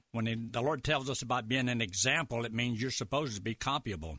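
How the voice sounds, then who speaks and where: A bright, sharp tone with vocal fry comes at a fairly quick pace. The sound is dry and close with no echo, over a quiet background. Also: man. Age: 70s. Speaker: evangelist and radio minister. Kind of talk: radio interview.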